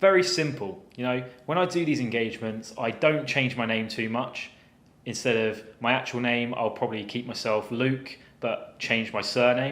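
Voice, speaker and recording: Here a man talks with a Southern English accent. His pace is moderate. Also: medium pitch for a man, ordinary pitch variation. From southern England. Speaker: cyber security penetration tester. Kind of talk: story time tutorial.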